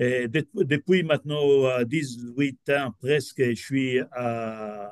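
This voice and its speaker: Speaking at a very slow pace, a man with a non-native accent and medium pitch is heard in a dry, close sound with no echo. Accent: non-native French learned in Quebec. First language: not French (speaking French). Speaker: business professor. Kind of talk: lecture. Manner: halting, many hesitations.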